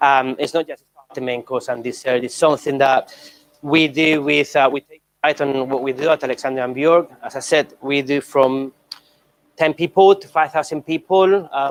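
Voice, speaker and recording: With a dry, close sound and no echo, a man speaks at a moderate pace in a fairly high pitch, his intonation fairly even but his loudness swinging widely. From Spain, Barcelona (Catalonia). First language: Spanish. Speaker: chef. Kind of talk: cooking demonstration. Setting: stage with audience. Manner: hesitant, many fillers.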